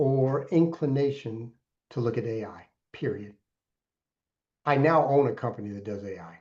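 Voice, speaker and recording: Dark and mellow describes this man's tone. He talks at a medium pitch. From Alaska. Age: 60s. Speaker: mentor and entrepreneur. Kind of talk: interview. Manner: animated.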